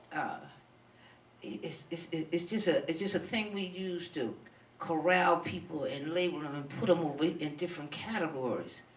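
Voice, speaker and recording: Speaking at a moderate pace, a woman with an American accent has a fairly low pitch and ordinary pitch variation. Noticeable background noise and audible room echo accompany her. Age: 70s. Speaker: community activist. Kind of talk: speech to an audience. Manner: halting.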